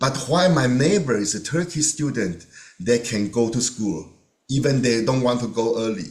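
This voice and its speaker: A man with a Chinese accent, medium in pitch, with lively intonation and a moderate pace. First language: Mandarin Chinese. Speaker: volunteer sharing experiences. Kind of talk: testimony. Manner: halting.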